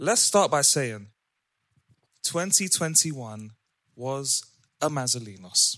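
Over a very clean recording with a silent background, a man speaks at a very slow pace with long, frequent pauses. His fairly high voice has a bright, sharp, playful tone and lively intonation. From London. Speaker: podcast host. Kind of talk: casual banter. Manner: playful, bantering.

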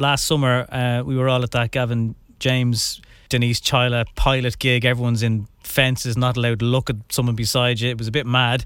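At a moderate pace, a man speaks at medium pitch with little pitch movement and a clear, smooth, fairly bright tone.

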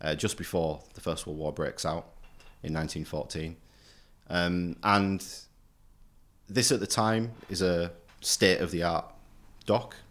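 A man with a very deep, low pitch speaks at a fairly slow pace with ordinary pitch variation and long, frequent pauses, on a very clean recording with a silent background. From Hull, East Yorkshire, England. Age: 30s. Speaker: historian, university lecturer. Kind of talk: casual interview chat. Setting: recording room at a university centre.

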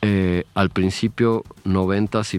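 A man speaks with a very deep, low pitch and fairly even intonation. The sound is dry and close, with no echo. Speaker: visual artist. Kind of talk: casual chat.

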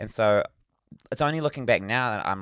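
On a very clean recording with a silent background, a man speaks with a New Zealand accent. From New Zealand, Northland. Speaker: podcast co-host. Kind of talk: casual chat. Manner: animated.

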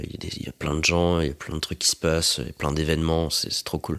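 A man talks at a very fast pace in a very deep, low voice with monotone, flat intonation. The recording is very clean, with a silent background. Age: 20s. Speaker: organic market gardener. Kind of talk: casual interview. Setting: on his farm.

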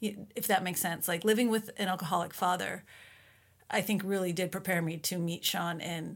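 A woman talks at a fairly quick clip in a fairly low pitch, with fairly even intonation and an unremarkable speaking voice. The recording is very clean, with a silent background. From Minnesota, US. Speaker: author and mother. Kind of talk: interview.

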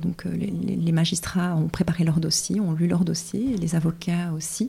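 Here a woman speaks with a fairly low pitch. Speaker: legal translator and interpreter. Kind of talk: interview. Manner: hesitant, many fillers.

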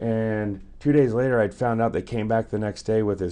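Against a quiet background, a man speaks at a moderate pace in a fairly low pitch and a dark, mellow tone, with ordinary pitch variation. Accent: American. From US West Coast. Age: 40s. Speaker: guest telling life stories. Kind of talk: casual storytelling.

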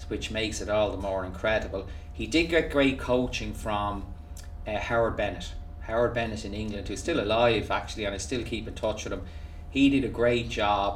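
In a room with audible echo, a man with a Dublin accent speaks fairly quickly at a medium pitch with ordinary pitch variation. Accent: Irish (Dublin). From Ireland, Dublin. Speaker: golf coach. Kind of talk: interview. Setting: golf academy facility.

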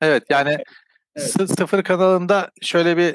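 The recording is dry and close, without echo. A man does the talking. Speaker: crypto YouTuber. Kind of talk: casual chat. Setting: call.

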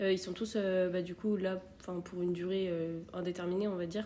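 Over noticeable background noise, a woman speaks at a moderate pace in a medium pitch with monotone, flat intonation. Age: 20s. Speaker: nursing assistant and nursing student. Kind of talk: casual interview.

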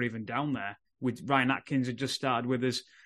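A man with a Yorkshire accent speaks at a fairly quick pace and medium pitch. The background is quiet. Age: 30s. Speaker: rugby league podcast host. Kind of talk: casual chat.

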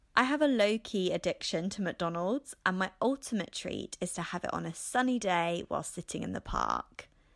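On a very clean recording with a silent background, a woman with an English accent speaks at a moderate pace with hardly any pauses, the sound dry and close with no echo. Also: medium pitch for a woman, lively intonation. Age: 30s. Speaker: podcast host. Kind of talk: casual monologue.

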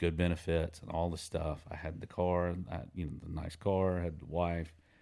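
Over a silent background in a very clean recording, a man with a Southern US accent speaks at a very deep, low pitch and a fairly quick pace, his intonation monotone and flat. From US South, Mississippi (Brandon). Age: 40s. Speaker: songwriter. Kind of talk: casual chat. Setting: home studio.

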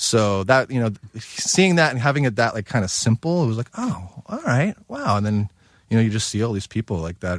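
This is a plain, everyday voice with an American accent, speaking at a moderate pace with lively intonation. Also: man. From US, Long Island. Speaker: chef. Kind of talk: casual chat.

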